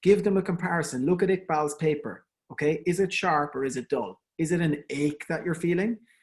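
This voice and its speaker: Someone with an Irish accent speaks over a quiet background. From Ireland. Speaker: endodontist giving a webinar. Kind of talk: lecture. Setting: online webinar. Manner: conversational, with fillers and repetitions.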